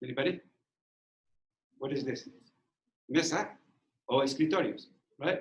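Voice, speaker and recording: Speaking at a moderate pace with long, frequent pauses, a man with a non-native accent uses a fairly high pitch and ordinary pitch variation. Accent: foreign accent, lasting. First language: Spanish. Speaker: former bilingual teacher, guest speaker. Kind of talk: talk to student teachers. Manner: halting, repeats words.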